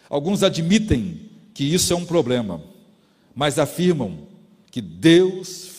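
A man's fairly high voice with vocal fry, lively intonation and a very slow pace, in audible room echo. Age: 50s. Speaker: pastor. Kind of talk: sermon.

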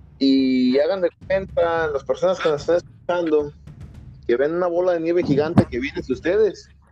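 There is noticeable background noise as a man with a fairly high pitch talks at a moderate pace with ordinary pitch variation. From Mexico. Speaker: podcast co-host. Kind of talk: casual chat.

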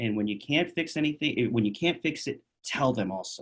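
Over a very clean recording with a silent background, a man talks in an ordinary speaking voice at a medium pitch with lively intonation. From New York City. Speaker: chiropractor. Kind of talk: casual interview.

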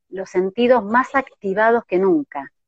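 A woman speaks at a very slow pace with a fairly high pitch. The sound is dry and close, with no echo. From Argentina, Córdoba. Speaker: interviewer for a support organization. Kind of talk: casual interview.

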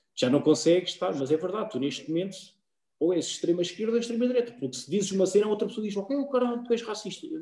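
A man's high, dark and mellow voice in a European Portuguese accent, very fast, with very wide pitch swings. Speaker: podcast co-host. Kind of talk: casual chat.

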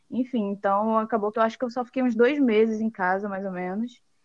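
This woman has an ordinary speaking voice with a medium pitch and fairly even intonation. She talks at a fairly quick pace, and the sound is dry and close with no echo. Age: 20s. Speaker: accountant and auditor. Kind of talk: interview.

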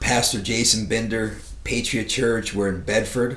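A man with an American accent speaks in a fairly low pitch and a monotone, flat intonation, with audible room echo. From South Florida. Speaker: pastor. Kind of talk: casual chat. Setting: studio.

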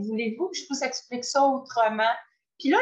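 In a Quebec accent, a woman with a high voice speaks in an animated tone. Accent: Québécois French. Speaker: voice coach. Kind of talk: casual interview chat.

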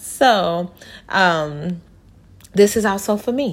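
The woman's tone is animated. The recording is very clean, with a silent background. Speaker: motivational podcaster. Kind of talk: inspirational message. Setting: indoors by a window.

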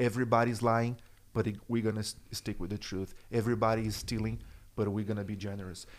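A man's fairly low voice in a flat monotone, very fast, with a Brazilian Portuguese accent. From Brazil, São Paulo. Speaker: church worship and production director. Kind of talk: casual chat.

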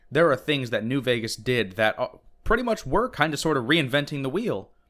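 An unremarkable speaking voice from a man of medium pitch, fairly quick in pace, in a very clean recording with a silent background. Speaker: video game podcast co-host. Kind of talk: casual chat.

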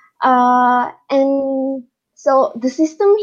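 A woman speaks with an Indonesian accent. Her pitch is high. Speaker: international master's student. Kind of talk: casual interview chat.

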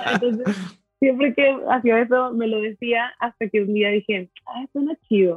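A normal speaking voice moves at a fairly slow pace with hardly any pauses. Its pitch varies in an ordinary way. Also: woman, fairly high pitch for a woman. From Mexico, Monterrey. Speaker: coffee roaster and barista. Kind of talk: casual interview chat. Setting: video call.

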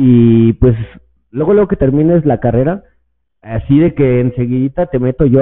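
At a moderate pace, a man talks in a normal speaking voice with medium pitch. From Mexico, Estado de México. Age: 30s. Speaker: cannabis podcaster and influencer. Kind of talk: casual chat.

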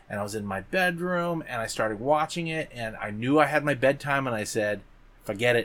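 Lively intonation from a plain, everyday voice, moving at a moderate pace. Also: man. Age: 40s. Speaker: podcast co-host. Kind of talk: casual chat.

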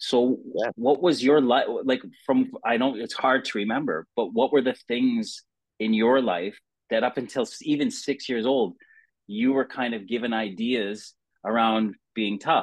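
With a North American accent and an unremarkable speaking voice, a man speaks at a medium pitch with ordinary pitch variation. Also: fairly slow pace. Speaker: podcast host, former hockey player. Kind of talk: casual interview.

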